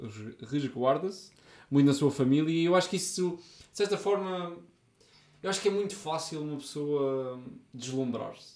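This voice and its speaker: Speaking at a moderate pace with long, frequent pauses, a man with a fairly high pitch shows ordinary pitch variation and big swings in loudness. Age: 40s. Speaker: podcast co-host. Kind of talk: casual chat.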